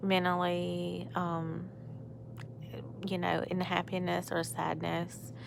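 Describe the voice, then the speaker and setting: A woman speaks with an American accent. There is audible echo in the room. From US South. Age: 30s. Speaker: vlogger. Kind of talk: casual vlog monologue. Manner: rambling, hesitant.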